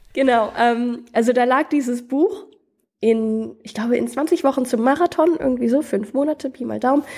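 This woman's voice sits high in pitch and shows ordinary pitch variation. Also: moderate pace. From US South (Athens, Georgia) and Germany. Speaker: adventurer. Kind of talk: casual interview.

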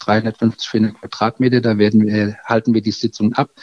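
A man speaks at a medium pitch and a fairly slow pace. The sound is dry and close, with no echo. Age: 50s. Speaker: village mayor. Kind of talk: interview. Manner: halting, many fillers.

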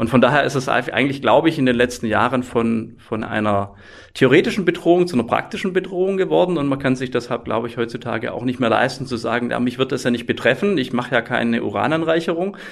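A man with a slight Swabian accent speaks very fast with hardly any pauses. His pitch is medium and his intonation lively. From Swabia, southwest Germany. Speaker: IT security professor. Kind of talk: podcast interview.

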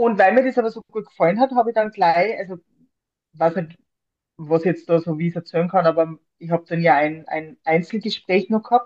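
A woman speaks in a normal speaking voice at a fairly low pitch, with ordinary pitch variation. Her pace is fairly quick. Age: 40s. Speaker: librarian and mental trainer, breast cancer survivor. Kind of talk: interview.

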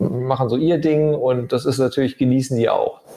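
This is an ordinary speaking voice. The intonation is fairly even. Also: man. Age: 40s. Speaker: architect and property developer. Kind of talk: casual interview. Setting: on location in a holiday building.

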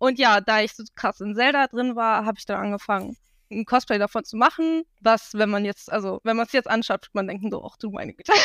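A woman's normal speaking voice, fairly high in pitch and fairly quick, with ordinary pitch variation, big swings in loudness, and a dry, close sound with no echo on a very clean recording with a silent background. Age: 20s. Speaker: cosplayer. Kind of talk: casual chat.

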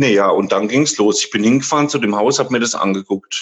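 A man speaks with a plain, everyday voice, keeping a medium pitch, a moderate pace, and ordinary pitch variation. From Thuringia, Germany. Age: 30s. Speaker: care home manager. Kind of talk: interview.

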